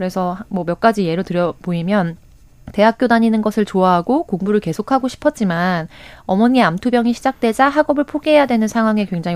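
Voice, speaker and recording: A woman with a normal speaking voice talks at a medium pitch and a fairly quick pace, her intonation lively. The recording is very clean and dry, with a close sound, no echo and a silent background. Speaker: political commentator. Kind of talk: radio current affairs talk.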